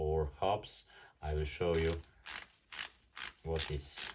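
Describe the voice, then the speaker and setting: A man with a non-native accent speaks very slowly in a very deep, low voice that is somewhat breathy. The recording is very clean, with a silent background. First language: German. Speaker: tattoo artist reviewing equipment. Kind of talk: product review and unboxing. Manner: halting, many fillers.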